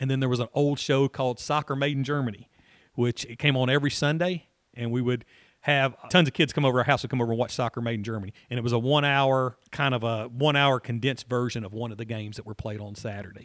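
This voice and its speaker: A man with a Tennessee accent talks at a very fast pace in a medium-pitched voice with fairly even intonation. The recording is very clean and dry, close with no echo and a silent background. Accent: Middle Tennessee Southern. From Middle Tennessee (Franklin). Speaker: college soccer coach. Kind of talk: interview. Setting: athletic center office.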